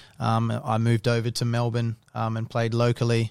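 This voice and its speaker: Man with an Australian accent at medium pitch and a moderate pace, on a very clean recording with a silent background. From Adelaide, South Australia. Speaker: professional footballer. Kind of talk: casual interview.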